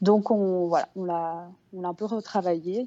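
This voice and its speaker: Using a plain, everyday voice, a woman talks at a medium pitch with fairly even intonation. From Brussels, Belgium. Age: 30s. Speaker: harpist and singer. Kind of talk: interview.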